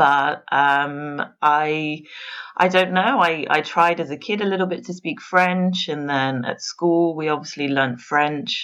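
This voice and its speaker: Over a quiet background, a woman with an English accent speaks at a fairly slow pace in a very deep, low pitch with ordinary pitch variation. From England, Worcestershire. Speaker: pastry chef. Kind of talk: interview.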